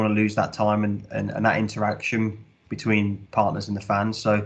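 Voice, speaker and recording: A man with a Midlands accent, fairly low in pitch, talking at a fairly quick pace in a monotone, flat intonation. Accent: Midlands accent, noticeable. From English Midlands, Birmingham. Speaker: sports club commercial director. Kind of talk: podcast interview. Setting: podcast recording.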